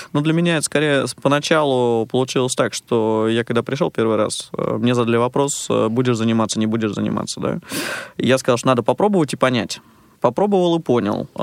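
With an unremarkable speaking voice, a man talks at a fairly quick pace and medium pitch with ordinary pitch variation, in a dry, close sound with no echo. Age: 30s. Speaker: blind karting instructor and massage therapist. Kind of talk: radio interview. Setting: radio studio.

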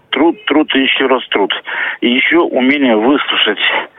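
Speech moves at a moderate pace with ordinary pitch variation. There is noticeable background noise. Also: man. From Russia, Voronezh. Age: 50s. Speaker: visually impaired poet and masseur. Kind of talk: phone interview. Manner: halting, many hesitations.

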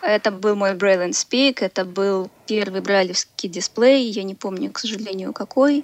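The sound is dry and close, with no echo, and noticeable background noise. Speech moves at a fairly slow pace with hardly any pauses and ordinary pitch variation. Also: woman, medium pitch for a woman. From Belarus. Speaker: caller, former exchange student. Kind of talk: call-in on live radio.

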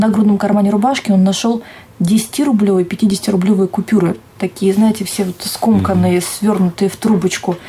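A woman of medium pitch talks at a moderate pace with ordinary pitch variation over noticeable background noise. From Siberia, Russia (Tara, Omsk region). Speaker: TV journalist and presenter. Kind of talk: interview. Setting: TV channel office.

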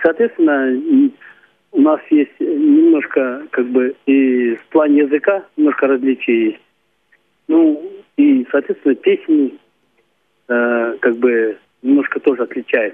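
A man at a very slow pace with long, frequent pauses. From Kalmykia. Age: 50s. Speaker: folk singer. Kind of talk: phone interview.

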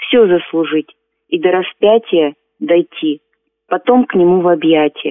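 Very slow speech from a woman with a fairly low pitch. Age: 50s. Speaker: amateur poet, seamstress. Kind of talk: poetry reading.

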